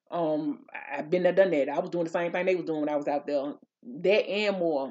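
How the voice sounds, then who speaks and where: A woman speaks with a fairly low pitch and ordinary pitch variation. The background is quiet. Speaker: vlogger. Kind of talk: casual storytime vlog chat. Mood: animated, laughing, indignant. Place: home room. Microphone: studio mic.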